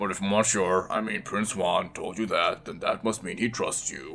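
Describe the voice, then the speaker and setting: Over clear music in the background, a man uses a raspy, put-on character voice at a moderate pace. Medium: game stream. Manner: nervous, stammering.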